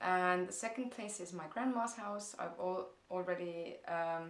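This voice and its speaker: With audible room echo, a woman speaks fairly slowly at a medium pitch in an Estonian accent. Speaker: blogger. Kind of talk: vlog Q&A. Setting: parents' house. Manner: hesitant, many fillers.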